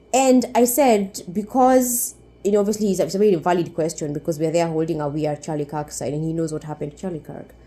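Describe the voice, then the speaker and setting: A woman's fairly low, dark and mellow voice at a very fast pace with hardly any pauses. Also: lively intonation. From Kenya. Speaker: YouTuber. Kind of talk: vlog storytelling. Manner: animated.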